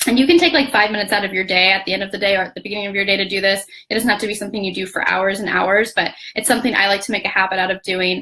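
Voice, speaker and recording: Amid noticeable background noise, a woman speaks at a very fast pace with fairly even intonation. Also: medium pitch for a woman. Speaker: blogging coach. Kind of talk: live training. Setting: Facebook live video. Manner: occasional stutter. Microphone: laptop.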